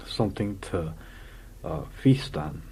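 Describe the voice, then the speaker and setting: A man speaks at a moderate pace in a very deep, low pitch with ordinary pitch variation. Vocal fry is present in his voice. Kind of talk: improvised comic storytelling. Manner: rambling, hesitant.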